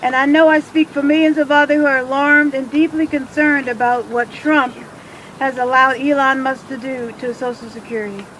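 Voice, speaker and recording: A woman with an American accent speaks at a fairly quick pace and high pitch over noticeable background noise. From Washington, D.C. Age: 60s. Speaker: retiree activist. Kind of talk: rally speech.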